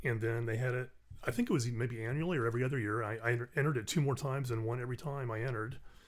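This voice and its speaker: A man talks at a very fast pace in a somewhat breathy, medium-pitched voice with fairly even intonation. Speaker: podcast guest, actor and musician; music professor.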